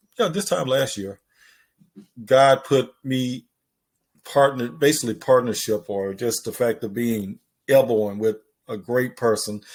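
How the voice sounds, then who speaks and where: On a very clean recording with a silent background, a man with a Mississippi accent speaks at a medium pitch with ordinary pitch variation. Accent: Southern US (Mississippi). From US South. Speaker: podcast host. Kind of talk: casual chat.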